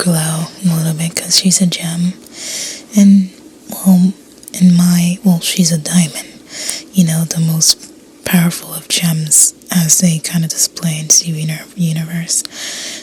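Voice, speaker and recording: A woman whispers, soft-spoken, at a fairly slow pace. Noticeable background noise is present. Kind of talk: ASMR whisper narration while speed drawing; casual talk to camera. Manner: whispered, soft, relaxing.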